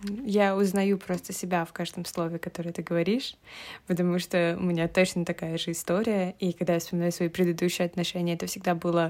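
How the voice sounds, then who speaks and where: The recording is very clean, with a silent background. A woman with a fairly low pitch talks at a fairly quick pace in a monotone, flat intonation. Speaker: podcast host. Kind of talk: casual chat.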